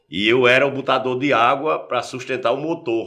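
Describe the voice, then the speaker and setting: With vocal fry and a bright, sharp tone, a man speaks at a medium pitch and a moderate pace. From Paraíba backlands, Brazil. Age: 60s. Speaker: journalist. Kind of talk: interview, personal life story.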